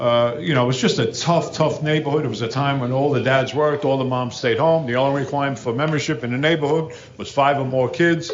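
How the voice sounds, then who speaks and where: Against noticeable background noise and audible room echo, a man with an American accent talks very fast in a fairly high voice, hardly pausing at all. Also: fairly even intonation. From New Jersey, Hudson River city across from New York. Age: 60s. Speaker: recovery speaker. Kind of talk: recovery talk to an audience. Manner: casual, conversational.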